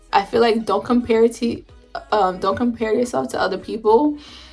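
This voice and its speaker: Music plays behind a woman at a moderate pace. Her pitch sits fairly high. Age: 20s. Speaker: mother. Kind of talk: casual talk to camera. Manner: rambling, informal.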